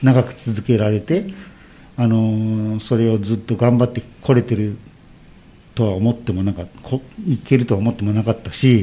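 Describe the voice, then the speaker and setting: Long pauses come often in this speech. Its pace is moderate and its pitch varies in an ordinary way. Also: man, medium pitch for a man. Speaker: former street dance group leader. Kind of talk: radio interview. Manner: halting.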